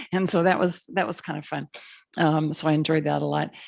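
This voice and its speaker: A woman talks very fast with vocal fry. The background is quiet. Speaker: school board trustee. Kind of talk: public meeting remarks.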